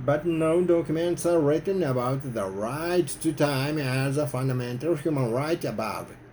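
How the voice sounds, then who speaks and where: The speaker has a Japanese accent and talks at a moderate pace with ordinary pitch variation. Noticeable background noise sits behind the voice. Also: man, fairly high pitch for a man. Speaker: activist. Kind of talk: prepared speech to camera.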